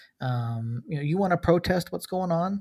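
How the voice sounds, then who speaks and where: In a very clean recording with a silent background, a somewhat breathy voice with an American accent moves at a fairly slow pace with ordinary pitch variation. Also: man. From US South, Georgia. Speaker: podcast host. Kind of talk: casual chat.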